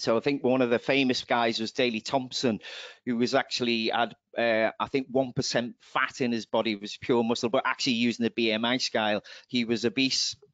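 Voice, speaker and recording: A man with an English accent at a medium pitch. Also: moderate pace. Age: 50s. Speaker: wellbeing presenter. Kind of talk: webinar presentation. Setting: online webinar. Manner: upbeat, jokey.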